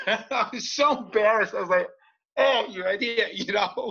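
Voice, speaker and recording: A man speaks in an animated tone. His pace is moderate. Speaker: podcast guest, author. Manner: animated storyteller.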